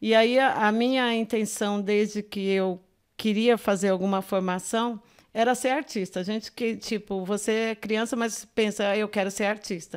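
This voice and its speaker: A woman's fairly high-pitched, plain, everyday voice at a fairly slow pace, on a very clean recording with a silent background. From Minas Gerais, raised in São Paulo (Grajaú). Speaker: art educator and visual artist. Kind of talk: podcast interview.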